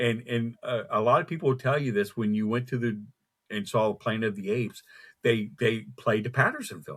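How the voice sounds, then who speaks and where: A man speaks at a fairly quick pace and a medium pitch, with ordinary pitch variation. The recording is very clean, with a silent background. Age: 60s. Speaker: cryptid researcher. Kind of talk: casual interview. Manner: halting, repeats words.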